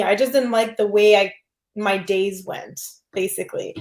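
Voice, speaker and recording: At a moderate pace, a woman talks. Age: 20s. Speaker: flight attendant and online business owner. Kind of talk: interview. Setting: live video call.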